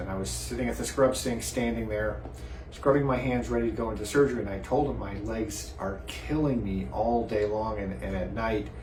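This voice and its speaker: A man's moderate pace is heard through audible room echo and noticeable background noise. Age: 60s. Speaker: vascular surgeon. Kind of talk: personal testimony. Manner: hesitant with fillers and repeats.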